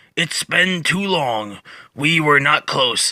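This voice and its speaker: A man's put-on character voice, raspy and fairly high-pitched, at a very slow pace. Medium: read story. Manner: slow, calm, detached.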